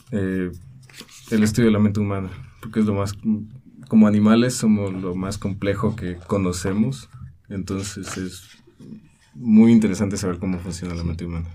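A man speaks at a moderate pace in a fairly low pitch with a dark, mellow tone and fairly even intonation. His loudness swings widely, long pauses come often, and the room echo is audible. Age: 20s. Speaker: art student and illustrator. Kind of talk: interview.

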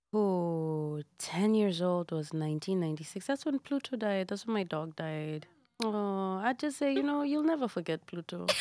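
A woman's medium-pitched voice in a Kenyan accent, dark and mellow in tone, with very wide pitch swings, a moderate pace and hardly any pauses, on a very clean recording with a silent background. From Kenya, Nairobi. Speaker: singer and actress. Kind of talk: casual chat. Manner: animated.

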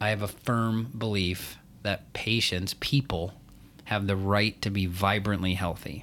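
A man talks at a fairly slow pace with a normal speaking voice, fairly low pitch and fairly even intonation. The loudness stays very even on a very clean recording with a silent background. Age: 40s. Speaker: functional medicine pharmacist. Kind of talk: casual podcast chat.

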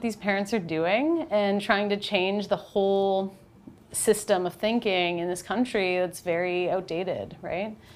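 A woman with a Canadian accent uses a normal speaking voice at a medium pitch and a fairly slow pace. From Canada, North Bay, Ontario. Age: 30s. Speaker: documentary photographer. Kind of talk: interview. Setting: studio.

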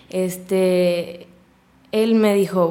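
A woman's medium-pitched voice, dark and mellow in tone. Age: 20s. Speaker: fitness studio owner. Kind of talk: casual interview.

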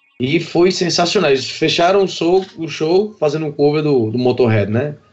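Lively intonation from a man, with music playing in the background. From Paraíba, northeastern Brazil (Patos). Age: 30s. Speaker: festival-goer, music fan. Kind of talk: casual chat.

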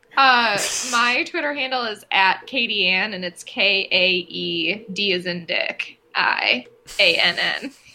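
A woman with an American accent and lively intonation, speaking at a very slow pace over noticeable background noise. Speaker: podcast co-host. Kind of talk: casual chat. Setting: remote recording.

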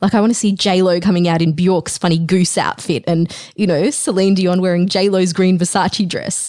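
This woman has an Australian accent, a medium pitch and an animated tone. Her moderate pace runs on with hardly any pauses. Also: very even loudness. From Australia (moved there as a child). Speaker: podcast host. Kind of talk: interview conversation.

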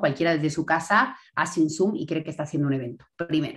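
A woman talks at a very fast pace. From Bolivia. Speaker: entrepreneur, event marketing expert. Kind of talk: casual interview. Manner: animated.

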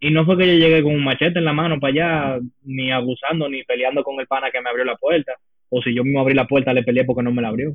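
Speaking very fast, a man delivers his words at a fairly high pitch. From United States and Dominican Republic. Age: young. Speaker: podcast co-host. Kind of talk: casual chat. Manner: animated.

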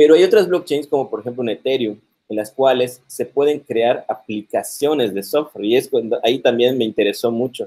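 A man talks in a normal speaking voice at medium pitch with ordinary pitch variation. His pace is fairly quick, with hardly any pauses. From Mexico, Yucatán (Mérida). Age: 40s. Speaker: computer science professor. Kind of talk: interview on live stream.

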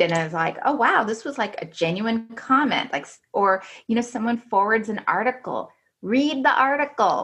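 A woman with a somewhat breathy, fairly high voice speaks at a moderate pace with lively intonation. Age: 40s. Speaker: business development manager at an engineering firm. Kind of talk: interview conversation.

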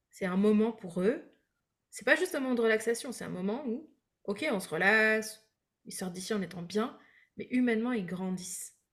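A woman with a fairly high pitch and a somewhat breathy voice talks at a moderate pace, with lively intonation and big swings in loudness. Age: 30s. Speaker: breathwork coach and entrepreneur. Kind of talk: casual interview. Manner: hesitant with fillers.

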